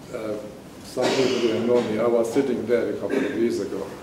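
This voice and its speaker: There is noticeable background noise and audible room echo as a man speaks at a moderate pace with fairly even intonation. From Palestine. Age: 70s. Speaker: audience member. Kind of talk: audience Q&A statement. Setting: university panel event with audience.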